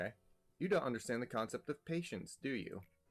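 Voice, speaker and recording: Music plays behind a man whose voice sits fairly high in pitch. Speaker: let's play gamer. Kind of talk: reading game dialogue aloud mixed with commentary.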